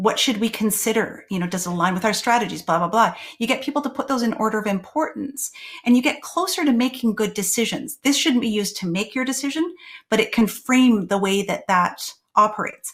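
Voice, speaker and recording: Somewhat breathy, a woman's voice moves with lively intonation. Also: fairly high pitch for a woman, fairly quick pace. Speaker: tech consultant presenting to elected officials. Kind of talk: webinar presentation. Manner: fast.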